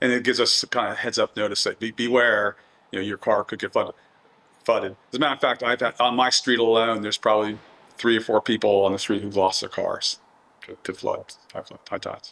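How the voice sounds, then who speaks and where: Speech moves at a fairly quick pace, and the sound is dry and close with no echo. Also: man. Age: 60s. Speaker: real estate developer. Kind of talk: oral history interview. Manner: halting, many fillers and repeats.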